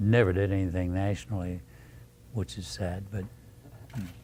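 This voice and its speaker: Somewhat breathy, a man with an American accent speaks with a dark, mellow tone. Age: 80s+. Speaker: retired rock drummer and bandleader. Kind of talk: oral history interview. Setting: music store.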